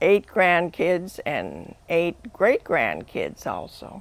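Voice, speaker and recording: A woman at a very slow pace, with an Upper Midwest accent. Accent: Upper Midwest (Minnesota). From northwestern Minnesota. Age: 80s+. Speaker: family elder interviewed. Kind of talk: interview reminiscence. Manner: halting.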